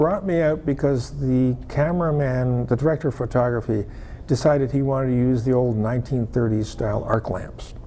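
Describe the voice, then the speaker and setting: Over noticeable background noise, a man talks at a medium pitch and moderate pace with ordinary pitch variation. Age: 60s. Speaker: former film lighting technician, non-profit founder. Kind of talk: interview. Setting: television studio. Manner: halting, with many repetitions.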